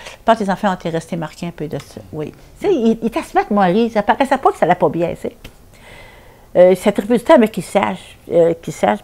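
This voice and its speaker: A woman with a Quebec accent talks very fast, her intonation lively. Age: 70s. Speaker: domestic violence survivor. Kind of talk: testimony. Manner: halting.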